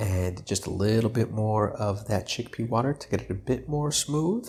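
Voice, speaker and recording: This man's voice is fairly low and somewhat breathy. His intonation is lively. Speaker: cooking YouTuber. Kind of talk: cooking tutorial. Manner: casual, filler-heavy.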